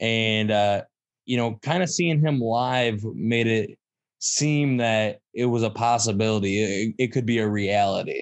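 Speaking fairly slowly with a Michigan accent, a man keeps a medium pitch, ordinary pitch variation and very even loudness. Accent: Midwestern US (Michigan). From Michigan, Saginaw. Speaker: stand-up comedian and show producer. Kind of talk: casual interview chat.

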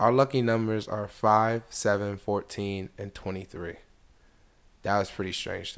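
Speaking in a plain, everyday voice, a man talks at a moderate pace with a fairly low pitch and fairly even intonation. The recording is very clean, with a silent background. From US. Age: 20s. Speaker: podcast host. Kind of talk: solo monologue podcast. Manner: casual, filler-heavy.

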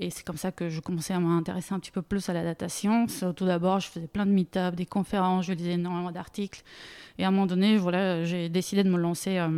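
A dark, mellow voice at a fairly quick pace, with flat, monotone intonation, in a very clean recording with a silent background. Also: woman. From Bulgaria. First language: Bulgarian (speaking French). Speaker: data product manager. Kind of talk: interview. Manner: halting.

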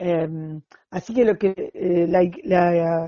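A woman speaks with an Argentine accent. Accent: Rioplatense Argentine Spanish. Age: 60s. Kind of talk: interview. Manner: halting, many fillers.

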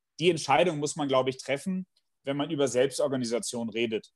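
Moderate speed and usual pitch movement from a man with a rather high voice. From Bielefeld, Germany. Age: 40s. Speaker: management professor and consultant. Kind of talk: interview conversation.

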